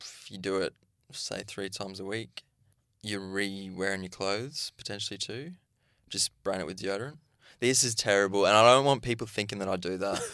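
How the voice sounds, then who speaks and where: Speaking at a fairly quick pace, a man with an Australian accent has a bright, sharp tone and big swings in loudness. The recording is very clean, with a silent background. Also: fairly even intonation. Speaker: podcast co-host, reality TV contestant. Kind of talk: casual chat. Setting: studio.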